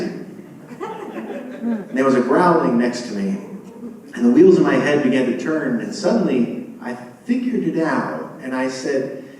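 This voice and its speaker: Noticeable background noise runs under a man's voice. He speaks at a fairly slow pace with very wide pitch swings. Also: fairly high pitch for a man. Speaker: storyteller. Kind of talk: live storytelling performance. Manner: humorous.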